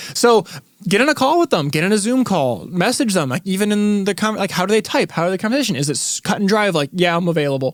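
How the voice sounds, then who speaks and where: High-pitched male speech at a very fast pace, animated in tone with very wide pitch swings, in a dry, close sound with no echo. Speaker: podcast co-host, recording engineer. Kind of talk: casual chat.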